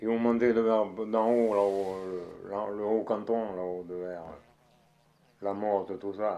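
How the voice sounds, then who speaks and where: A man's very slow, fairly low-pitched delivery, dark and mellow in tone, monotone and flat, with long, frequent pauses. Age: 80s. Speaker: farmer. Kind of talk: interview answer.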